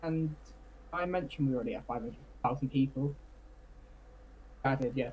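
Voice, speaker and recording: With a Cornish accent, the speaker goes at a fairly quick pace broken by long, frequent pauses. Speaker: Cornish rights activist. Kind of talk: interview.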